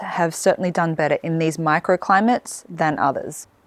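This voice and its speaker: A woman speaks with an Australian accent at a moderate pace. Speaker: gardening vlogger. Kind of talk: casual garden vlog.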